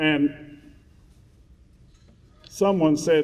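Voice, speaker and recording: This man's voice sits fairly high in pitch. The intonation is fairly even. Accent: West Virginia. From West Virginia. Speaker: school superintendent. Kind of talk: speech to staff. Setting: stage with audience.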